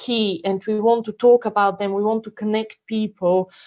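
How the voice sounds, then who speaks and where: In a Bulgarian accent, a woman speaks at a moderate pace with monotone, flat intonation. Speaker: council community support officer. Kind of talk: online meeting presentation. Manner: hesitant, many fillers.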